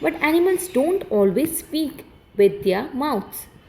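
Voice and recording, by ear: A woman's put-on character voice, high-pitched and fairly slow, with very wide pitch swings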